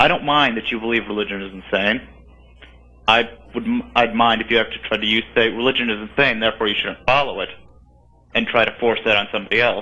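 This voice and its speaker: The speaker goes at a very fast pace with fairly even intonation, yet leaves long, frequent pauses. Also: man, medium pitch for a man. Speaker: caller. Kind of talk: phone call-in question. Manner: talkative, rambling.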